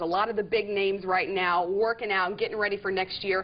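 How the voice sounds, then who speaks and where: A woman at a medium pitch, with noticeable background noise behind her. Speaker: sports interviewer. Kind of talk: sports TV interview and hosting.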